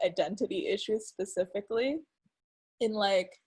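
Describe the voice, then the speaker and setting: A somewhat breathy woman talks at a moderate pace in a very clean recording with a silent background. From Philippines. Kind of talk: casual chat.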